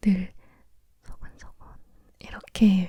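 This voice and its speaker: The speaker is soft-spoken. The delivery is fairly slow. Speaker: ASMR creator. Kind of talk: casual chat.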